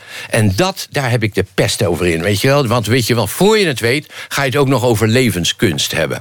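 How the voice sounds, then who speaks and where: A man's fairly quick, lively-intoned speech at very even loudness, with noticeable background noise. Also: medium pitch for a man. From Rotterdam, Netherlands. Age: 50s. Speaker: philosophy lecturer. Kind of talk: casual chat.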